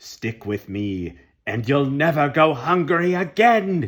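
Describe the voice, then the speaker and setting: Putting on a character voice, a man speaks at fairly high pitch and a fairly slow pace with very wide pitch swings. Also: very clean recording, silent background. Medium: read story. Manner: sly, sinister.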